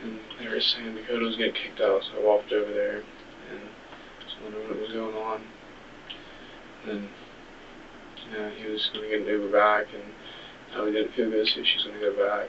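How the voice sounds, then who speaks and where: A soft-spoken man talks very fast in a flat monotone, his loudness swinging widely, with long, frequent pauses and noticeable background noise. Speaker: suspect in interrogation. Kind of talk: police interrogation. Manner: halting.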